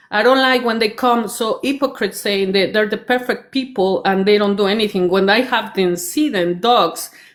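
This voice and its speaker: A woman with a non-native accent speaks in a fairly high voice with ordinary pitch variation, in a very clean recording with a silent background. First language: not English. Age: 50s. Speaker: commenter in a live stream discussion. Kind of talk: heated debate. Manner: halting, many fillers and restarts.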